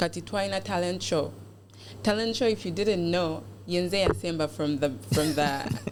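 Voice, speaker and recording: A woman's fairly low voice makes very wide pitch swings while her loudness stays very even. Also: moderate pace. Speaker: beauty pageant contestant. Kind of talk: podcast interview. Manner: code-switching English and Luganda.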